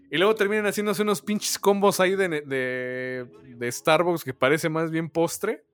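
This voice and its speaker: Moderate-paced, high-pitched male speech in a Mexican accent, lively in intonation, with hardly any pauses. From Mexico. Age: 20s. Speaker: podcast co-host. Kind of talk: casual chat.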